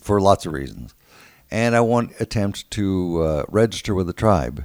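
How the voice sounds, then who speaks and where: A man with an American accent and a plain, everyday voice speaks at a moderate pace, his fairly low pitch carrying lively intonation. The recording is very clean with a silent background, dry and close with no echo. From San Antonio, Texas. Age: 60s. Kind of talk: casual interview chat.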